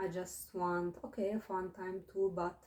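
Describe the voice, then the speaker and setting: Somewhat breathy and dark, mellow in tone, a woman with a non-native accent speaks at a medium pitch. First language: not English. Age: 20s. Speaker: vlogger. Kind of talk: casual monologue vlog. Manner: hesitant, many fillers.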